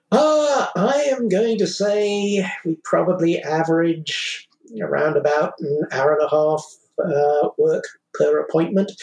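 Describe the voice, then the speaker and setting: A man with a British accent speaks at a very slow pace. His pitch is high and his intonation lively. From United Kingdom. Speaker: vaccine appointment volunteer. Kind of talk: interview.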